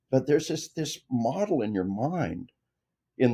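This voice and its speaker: A man with an American accent talks at a medium pitch in a dark, mellow tone with vocal fry. His intonation is lively. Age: 60s. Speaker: retired army officer and author. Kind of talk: interview. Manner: halting, many fillers and repeated words.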